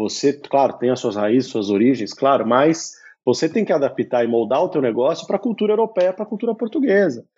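A man is speaking. His pitch swings very widely. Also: hardly any pauses. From Brazil, São Paulo. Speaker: entrepreneur, startup CEO. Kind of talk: casual interview.

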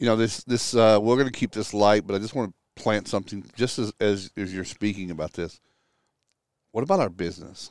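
With an American accent, a man speaks in a normal speaking voice, fairly low in pitch with ordinary pitch variation and a fairly quick pace, in a very clean recording with a silent background and a dry, close sound with no echo. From Texas. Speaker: restoration industry consultant. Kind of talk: casual chat. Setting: outdoors on a back deck.

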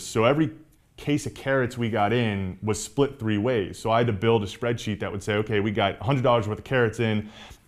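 A man has an unremarkable speaking voice at a medium pitch. He talks at a fairly quick pace with ordinary pitch variation. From Atlanta suburbs, US South (from New York until 9). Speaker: restaurant owner. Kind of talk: interview.

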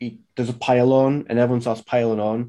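The speaker is male, pitched in the middle range. Dark and mellow describes his tone. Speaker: football fan guest. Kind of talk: casual chat.

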